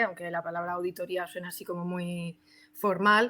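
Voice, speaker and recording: In a very clean recording with a silent background, a woman speaks in a bright, sharp tone with monotone, flat intonation. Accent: strong Madrid. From Spain, Madrid (Alcorcón). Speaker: SEO specialist. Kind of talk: casual podcast chat.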